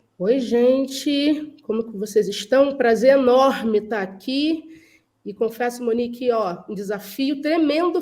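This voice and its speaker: A woman's high-pitched voice at a very slow pace, with ordinary pitch variation and big swings in loudness. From Brazil, Rio de Janeiro. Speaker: culture and behavior specialist. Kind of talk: panel discussion.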